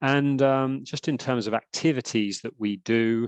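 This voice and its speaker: A man talks with a British accent. The sound is dry and close, with no echo. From UK. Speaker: sports governance expert, lawyer by training. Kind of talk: lecture. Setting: webinar video call. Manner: hesitant, many fillers and repetitions.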